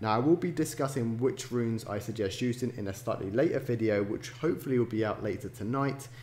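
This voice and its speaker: A somewhat breathy man's voice at a medium pitch, very fast, with ordinary pitch variation. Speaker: gaming YouTuber. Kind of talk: tutorial. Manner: quieter than usual. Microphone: poor sound quality.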